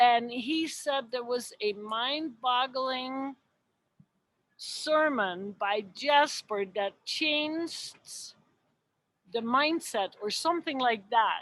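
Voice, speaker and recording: A woman with a non-native accent, a high voice, ordinary pitch variation, and a very slow pace. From Europe. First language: not English. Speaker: audience member asking a question. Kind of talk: casual question.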